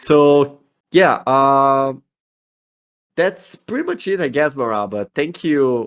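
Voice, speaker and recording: A man with a Brazilian accent, fairly high in pitch, at a very slow pace with ordinary pitch variation and long, frequent pauses. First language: Portuguese. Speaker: community manager. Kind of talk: online community Q&A. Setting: voice chat on a community server.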